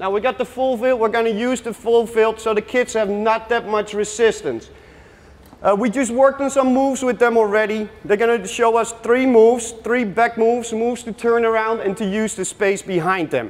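Speaking with a Dutch accent, a man talks at a moderate pace. His pitch is extremely high, and his intonation fairly even. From Netherlands. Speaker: youth soccer coach. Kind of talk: coaching workshop presentation with live drills. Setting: workshop with live audience. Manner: gives short brisk commands. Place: hall.

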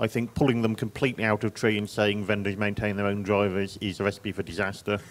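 Talking at a very fast pace with a monotone, flat intonation, a man with an English accent uses a fairly low pitch. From England. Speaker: software engineer on a panel. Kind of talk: conference panel discussion.

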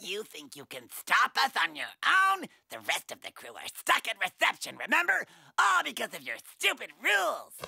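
A cartoonish character voice at a fairly high pitch. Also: moderate pace. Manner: sneering, villainous.

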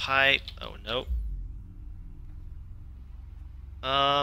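The man's tone comes across bright and sharp. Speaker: gamer. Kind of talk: let's play commentary. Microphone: headset.

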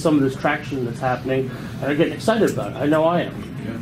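Here a man speaks at a fairly high pitch with ordinary pitch variation. Noticeable background noise runs underneath. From San Francisco. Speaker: audience member, wine association board member; audience member. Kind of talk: audience comment. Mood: earnest, upbeat. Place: hall. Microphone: camera far.

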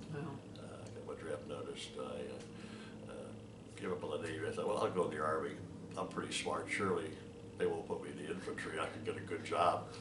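A man speaking at a fairly quick pace, with noticeable background noise. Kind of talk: interview answer. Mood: relaxed, chuckling. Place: home room.

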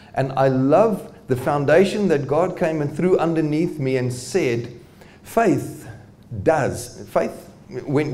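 Delivery is very slow, and the pitch varies in an ordinary way. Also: man. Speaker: presenter. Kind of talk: lecture. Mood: warm, good-humoured. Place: hall. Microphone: handheld.

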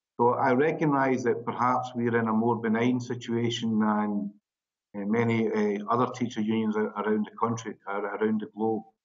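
This man's voice sits at a medium pitch and moves at a moderate pace. Behind him, the background is quiet. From Scotland. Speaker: teacher union representative. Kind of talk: webinar presentation. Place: office. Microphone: video call.

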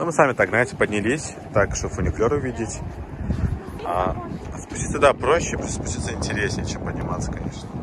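Against loud background noise, a man at a medium pitch talks at a fairly quick pace with long, frequent pauses, the sound dry with no echo. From Azerbaijan. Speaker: vlogger; travel vlogger. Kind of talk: casual travel vlog narration. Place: street. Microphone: phone near.

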